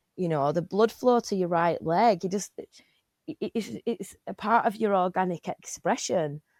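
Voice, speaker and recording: Speaking at a moderate pace, a woman with an English accent has a medium pitch and ordinary pitch variation. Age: 40s. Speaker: podcast host. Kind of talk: casual chat. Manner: loud; halting.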